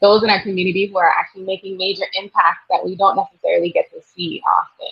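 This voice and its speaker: A woman with a Virgin Islands accent speaks at a very fast pace. She leaves hardly any pauses and shows big swings in loudness. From US Virgin Islands, St. Croix. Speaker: nurse practitioner and midwife. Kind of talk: interview.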